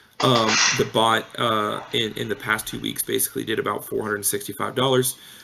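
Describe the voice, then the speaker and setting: A man speaks loudly. His pace is moderate. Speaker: crypto trading bot developer. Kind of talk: casual chat.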